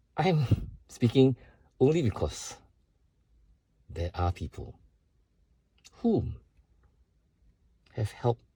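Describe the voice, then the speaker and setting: A man's somewhat breathy voice, dark and mellow in tone, with very wide pitch swings, a very slow pace and long, frequent pauses, recorded dry and close with no echo. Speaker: vlogger sharing personal struggles. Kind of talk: personal video statement.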